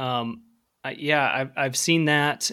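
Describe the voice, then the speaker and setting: A man with an American accent speaks in a bright, sharp tone. The recording is very clean, with a silent background. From US Midwest (Central Illinois). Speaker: author and podcast co-host. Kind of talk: casual chat.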